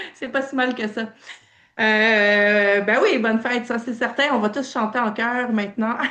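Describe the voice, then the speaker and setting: Speaking fairly slowly with a slight Quebec accent, a woman has a bright, sharp tone, a fairly high pitch and fairly even intonation. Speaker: training participant. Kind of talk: casual feedback in online meeting. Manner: hesitant, many fillers.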